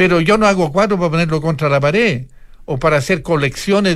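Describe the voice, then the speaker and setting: A man's high-pitched voice moves at a fairly quick pace. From Italy. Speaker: artist. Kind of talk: interview. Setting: studio.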